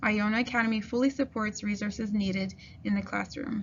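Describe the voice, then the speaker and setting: Talking at a very fast pace, a woman uses a medium pitch and fairly even intonation. Noticeable background noise runs underneath. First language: French. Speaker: kindergarten French teacher. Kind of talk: school open house presentation. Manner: formal.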